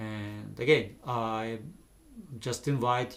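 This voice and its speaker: Here a man speaks at a very slow pace. His medium-pitched voice keeps a fairly even intonation. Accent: non-native. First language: not English. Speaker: vlogger. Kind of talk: unscripted monologue. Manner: halting, many pauses. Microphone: camera's built-in microphones.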